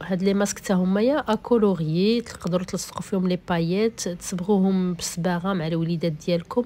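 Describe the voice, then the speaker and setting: A woman speaks with a Moroccan accent at a moderate pace. Her medium-pitched voice keeps a fairly even intonation. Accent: Moroccan Darija with French code-switching. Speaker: vlogger. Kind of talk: casual shop tour vlog. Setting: inside a shop.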